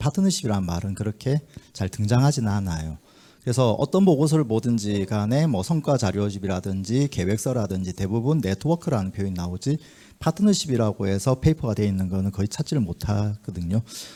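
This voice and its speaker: A man with a Busan accent, a fairly low pitch and a dark, mellow tone. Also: dry, close sound with no echo. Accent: Gyeongsang (Busan) intonation. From Busan, South Korea. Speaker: community organization leader, forum presenter. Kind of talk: conference presentation. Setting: forum hall with audience. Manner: filler-heavy, conversational.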